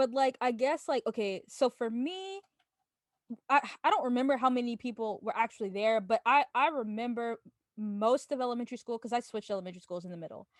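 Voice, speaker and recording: Loud and high-pitched, a woman talks very fast with lively intonation, the sound dry and close with no echo. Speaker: podcast host. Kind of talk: casual chat. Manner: naturally loud.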